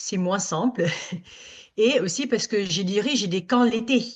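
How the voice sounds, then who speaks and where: At a fairly slow pace, a woman talks with ordinary pitch variation. Her voice sits at a medium pitch for a woman. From Italy. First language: Italian (speaking French). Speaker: summer camp director. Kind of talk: workshop discussion. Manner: halting.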